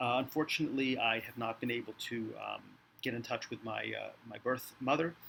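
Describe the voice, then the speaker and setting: A man's bright, sharp tone with vocal fry, medium pitch and a fairly quick pace. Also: fairly even intonation. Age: 50s. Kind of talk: casual talk to camera. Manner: casual, hesitant with many fillers.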